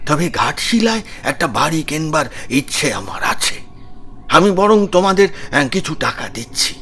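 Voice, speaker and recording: Over clear background noise, a man puts on a high-pitched character voice at a moderate pace. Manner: hesitant.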